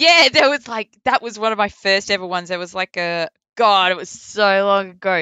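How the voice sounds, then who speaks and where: A woman talks with a strong Australian accent. Her pace is moderate and her intonation lively. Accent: broad Australian. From Perth, Western Australia. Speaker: voice actor. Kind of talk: casual interview. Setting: remote call across time zones. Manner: casual, laughs often.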